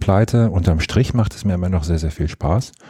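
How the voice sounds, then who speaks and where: A man with a very deep, low pitch talks at a fairly quick pace in a dark, mellow, somewhat breathy tone with ordinary pitch variation. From Rhineland, Germany (Monheim am Rhein). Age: 30s. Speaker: mayor. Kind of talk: interview.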